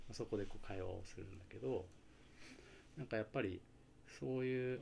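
The voice is somewhat breathy with lively intonation, broken by long, frequent pauses. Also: man. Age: 40s. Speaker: DJ and father. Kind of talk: casual chat.

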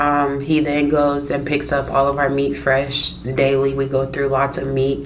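A woman speaks in a very deep, low pitch with a Midwestern US accent, a monotone, flat intonation, very even loudness and a fairly slow pace, over noticeable background noise. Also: hardly any pauses. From Iowa, Des Moines. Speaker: food truck owner. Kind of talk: casual interview.

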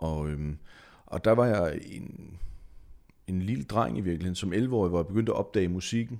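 A man's very deep, low voice at a moderate pace. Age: 40s. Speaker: singer-songwriter. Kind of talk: casual chat.

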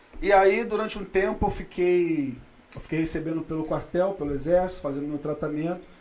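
A man's voice, high for a man, at a moderate pace with audible room echo. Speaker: day trader. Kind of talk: casual chat.

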